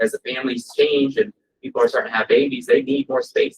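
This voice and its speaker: The sound is dry and close with no echo as a man speaks at a fairly quick pace. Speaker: real estate agent. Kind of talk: presentation to a live audience. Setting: breakfast event with audience. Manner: fast; animated.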